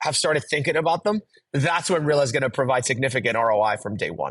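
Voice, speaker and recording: Over a quiet background, a man speaks at a very fast pace in a somewhat breathy voice. His pitch is medium and his intonation lively. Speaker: software company representative. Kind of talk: podcast interview. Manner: repetitive stammering restarts.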